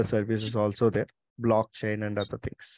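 A man with an Indian accent speaks with a dry sound with no echo over a quiet background. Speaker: company representative hosting meeting with college coordinators. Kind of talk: online meeting presentation. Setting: video call. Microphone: video call.

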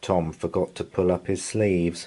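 A man with a low pitch and a dark, mellow tone speaks at a fairly slow pace with little pitch movement.

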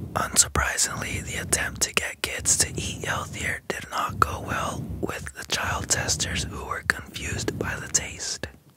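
A man's whisper at a fairly slow pace, with hardly any pauses. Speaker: ASMR artist; ASMR creator. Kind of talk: ASMR sleep fact narration. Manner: whispered. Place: home room. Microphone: studio mic.

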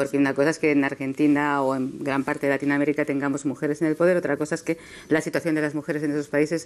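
The woman's voice is very deep and low in pitch. She speaks very fast with monotone, flat intonation. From Spain. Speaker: news correspondent. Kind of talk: panel discussion. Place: studio. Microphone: lapel.

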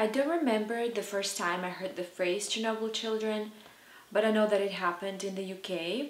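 Audible room echo surrounds speech delivered at a moderate pace. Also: woman, fairly high pitch for a woman, ordinary pitch variation. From southern Belarus. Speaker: personal storyteller. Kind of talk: personal story told to camera. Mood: serious, reflective, hesitant. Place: home room.

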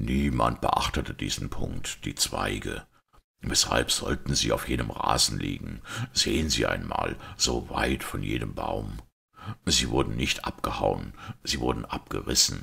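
A put-on character voice, quiet and fairly slow, with a bright, sharp tone, a husky, rough edge, vocal fry and ordinary pitch variation. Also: man, extremely low pitch for a man.

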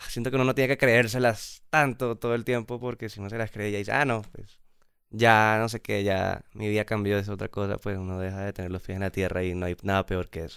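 Fairly even intonation and a fairly quick pace mark this dry, echo-free recording with a quiet background. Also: man, fairly low pitch for a man. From Colombia, Bogotá. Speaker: pop band musician; guest. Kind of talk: casual interview chat. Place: studio. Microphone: studio mic.

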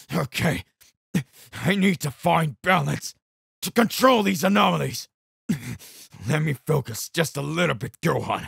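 In a put-on character voice, a man sounds raspy at a fairly high pitch, keeping a moderate pace in a dry, close sound with no echo. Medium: read story.

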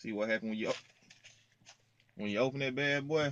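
A man with a fairly bright tone talks at a fairly quick pace. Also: medium pitch for a man, ordinary pitch variation.

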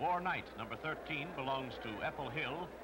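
Noticeable background noise sits under this recording. A man speaks at a moderate pace with a fairly high pitch. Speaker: newsreel narrator. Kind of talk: newsreel narration.

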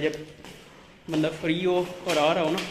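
A high-pitched man with monotone, flat intonation and noticeable background noise. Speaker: vlogger. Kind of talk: casual vlog chat. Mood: cheerful, laughing.

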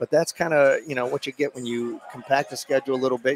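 A man speaks very fast in an enthusiastic tone, with ordinary pitch variation. The sound is dry with no echo, over light background noise. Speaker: basketball color commentator. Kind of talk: live sports commentary. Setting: courtside at a high school gym. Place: hall.

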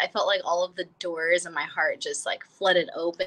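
Her tone is bright and sharp. The woman speaks at a moderate pace. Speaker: guest. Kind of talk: interview answer. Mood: cheerful, animated. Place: home room. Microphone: video call.

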